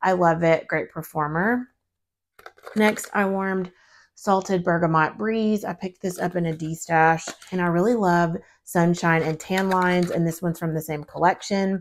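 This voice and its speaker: A woman speaks at a moderate pace with a fairly low pitch on a very clean recording with a silent background. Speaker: wax melt reviewer and product consultant. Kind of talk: casual product review vlog. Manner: animated.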